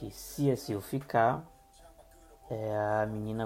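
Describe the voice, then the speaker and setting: A fairly low-pitched man's voice with music in the background. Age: 20s. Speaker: podcaster reviewing TV dramas. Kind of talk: solo podcast review. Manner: hesitant, many fillers.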